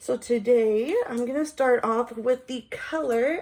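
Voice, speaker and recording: A woman speaks in a high voice. Her pace is very slow. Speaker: beauty vlogger. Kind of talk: makeup tutorial. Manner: casual, chatty.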